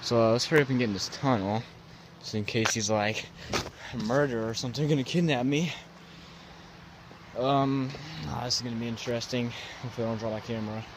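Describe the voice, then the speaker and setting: A man races along at a very fast pace with ordinary pitch variation. The sound is dry with no echo, though background noise is noticeable. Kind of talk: casual vlog chat. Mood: nervous, hurried. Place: waterside. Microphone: phone near.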